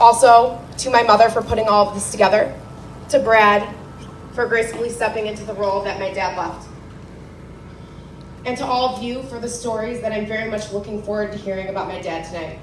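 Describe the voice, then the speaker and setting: Over noticeable background noise and audible room echo, a woman with a fairly high pitch speaks with fairly even intonation, big swings in loudness and long, frequent pauses. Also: fairly quick pace. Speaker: eulogist, daughter of the deceased. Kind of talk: memorial speech; casual remarks to gathering. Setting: memorial gathering with microphone.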